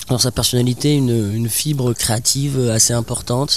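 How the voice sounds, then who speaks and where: A man speaks at a fairly slow pace in a medium pitch. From Bordeaux area, southwest France. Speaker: musician and carpenter. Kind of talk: interview.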